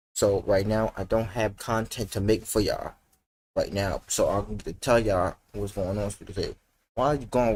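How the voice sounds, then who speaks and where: A man's fairly low, somewhat breathy voice with a dark, mellow tone at a moderate pace. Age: young. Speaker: gaming content creator. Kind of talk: casual vlog monologue. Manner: halting, repetitive.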